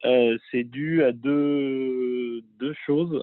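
This is a man speaking at a medium pitch. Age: 30s. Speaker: real estate investor and author. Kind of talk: interview. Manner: halting, many repetitions.

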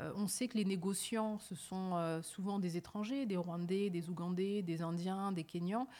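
Her medium pitch and fairly even intonation carry this woman's fairly slow speech. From France, Paris suburbs (Évry-Courcouronne). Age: 30s. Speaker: journalist. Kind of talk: interview. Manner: hesitant, frequent repetitions.

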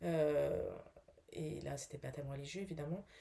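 A woman's very deep, low voice at a very slow pace, dark and mellow in tone. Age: 40s. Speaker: actress, bereaved mother. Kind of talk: testimony. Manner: halting, many hesitations.

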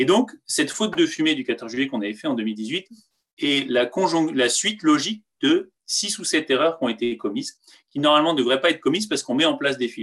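Speaking at a fairly quick pace, a man uses lively intonation in a fairly high pitch. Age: 40s. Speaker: former military pilot and squad leader. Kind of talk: interview. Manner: halting, with fillers.

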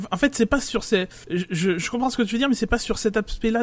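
A man's pitch rises and falls in an ordinary way while noticeable noise fills the background. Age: 40s. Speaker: F1 podcast panelist. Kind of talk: casual chat.

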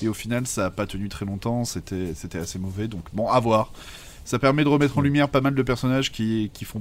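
Speaking at a fairly quick pace, a man with an unremarkable speaking voice holds a medium pitch with ordinary pitch variation. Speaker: comics podcast co-host. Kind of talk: casual chat.

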